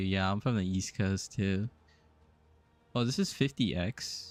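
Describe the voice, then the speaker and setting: A man's fairly low voice with a non-native accent, fairly even intonation and a fairly slow pace, with music in the background. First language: not English. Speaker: video game streamer. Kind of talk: live gameplay stream. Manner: casual, thinking aloud.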